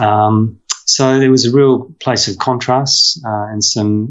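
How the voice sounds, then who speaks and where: A man with an Australian accent speaks in a monotone, flat intonation against a quiet background. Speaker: veterinarian and professor. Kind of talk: interview conversation. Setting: video call. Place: home room. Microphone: video call.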